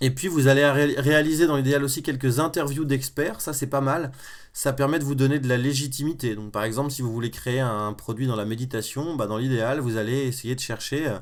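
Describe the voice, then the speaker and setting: A man's medium-pitched voice at a fairly quick pace, with fairly even intonation. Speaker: web entrepreneur and online course creator. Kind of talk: live-stream tutorial. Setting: live stream from a bedroom. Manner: fast; informal, with many fillers.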